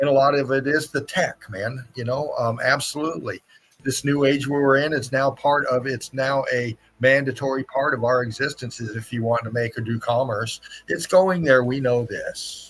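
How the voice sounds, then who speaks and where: In a plain, everyday voice, the speaker moves at a moderate pace with fairly even intonation. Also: man, medium pitch for a man. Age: 60s. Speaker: live stream host. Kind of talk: casual chat. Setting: live stream.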